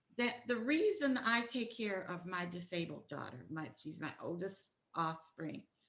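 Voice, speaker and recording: A woman with a bright, sharp tone talks at a fairly slow pace, her pitch swinging very widely. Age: 80s+. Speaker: guest mother. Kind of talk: casual chat.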